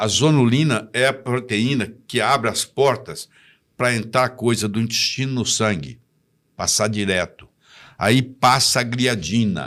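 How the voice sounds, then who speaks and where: Medium pitch from a man, fairly slow delivery and ordinary pitch variation. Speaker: physician. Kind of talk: interview answer. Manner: didactic.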